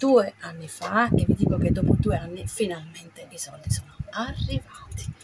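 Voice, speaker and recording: A woman at a fairly slow pace, with noticeable background noise. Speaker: vlogger. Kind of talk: casual vlog chat. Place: home room. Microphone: phone near.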